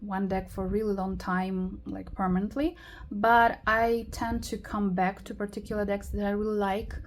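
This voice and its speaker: Speaking with a non-native accent, the woman takes a fairly slow pace. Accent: noticeable foreign. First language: not English. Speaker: tarot YouTuber. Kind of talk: casual video tutorial. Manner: hesitant, many fillers.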